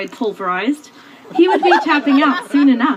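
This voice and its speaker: High-pitched woman's voice with very wide pitch swings, over noticeable background noise. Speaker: maid of honor. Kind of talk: spoken word poetry wedding speech.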